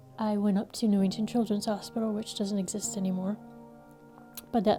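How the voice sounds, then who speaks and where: A woman with an American accent speaks fairly quickly at a medium pitch, her tone gentle and her intonation monotone and flat. Music plays in the background. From Connecticut. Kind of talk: interview answer. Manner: gentle, reflective.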